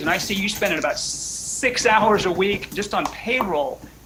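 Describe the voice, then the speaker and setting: The tone is animated. Noticeable background noise runs behind it. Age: 60s. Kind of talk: casual chat.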